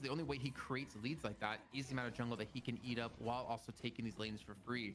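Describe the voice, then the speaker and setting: A man talks at a very fast pace with fairly even intonation amid noticeable background noise. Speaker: esports analyst. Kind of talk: esports panel analysis.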